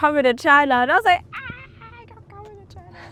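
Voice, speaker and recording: A woman talks at a very fast pace with an Australian accent. There is noticeable background noise. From Australia (Melbourne), Ethiopian family. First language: Amharic. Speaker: sound artist and vocalist. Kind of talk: casual interview chat. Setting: music venue.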